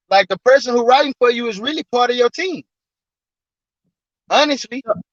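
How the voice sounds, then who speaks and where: With ordinary pitch variation and an extremely high pitch for a man, he talks at a fairly quick pace, and the sound is dry and close with no echo. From Texas, South Dallas. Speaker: rapper and songwriter. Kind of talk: radio interview chat. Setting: radio studio, live stream.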